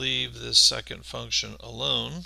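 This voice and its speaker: At a very slow pace, a man speaks with vocal fry and a bright, sharp tone. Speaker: maths teacher. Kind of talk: tutorial. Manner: casual, conversational.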